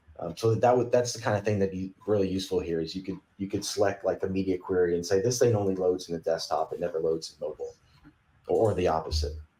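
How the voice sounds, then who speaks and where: A man with a Southern US accent, fairly low in pitch with ordinary variation, somewhat breathy, dark and mellow in tone, at a very fast pace. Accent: Southern twang. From Kentucky, US South. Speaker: software company CTO, podcast guest. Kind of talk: casual tech podcast chat.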